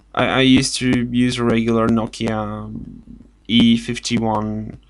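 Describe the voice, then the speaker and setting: A man with a Bulgarian accent speaks at a fairly slow pace and with very even loudness. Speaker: video blogger. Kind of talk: casual vlog talk. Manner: halting, many fillers and restarts.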